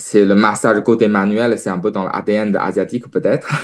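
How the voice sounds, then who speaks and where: With a non-native accent, a man talks at a moderate pace in a fairly low voice with ordinary pitch variation. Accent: foreign accent in French. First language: Chinese (speaking French). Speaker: naturopath. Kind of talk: interview testimony. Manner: hesitant, many fillers.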